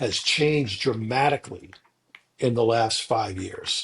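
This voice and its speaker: Somewhat breathy, a man of medium pitch speaks at a very slow pace. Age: 60s. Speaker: podcast co-host. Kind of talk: casual podcast discussion.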